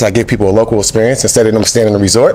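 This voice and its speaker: A man with an American accent rushes along at a very fast pace as noticeable background noise fills the recording. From Indiana. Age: 40s. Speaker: dating show contestant. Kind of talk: casual chat.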